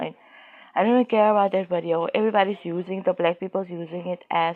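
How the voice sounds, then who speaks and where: Someone with a South African accent speaks with fairly even intonation. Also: woman. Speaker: YouTuber. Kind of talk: casual commentary monologue. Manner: halting, many fillers.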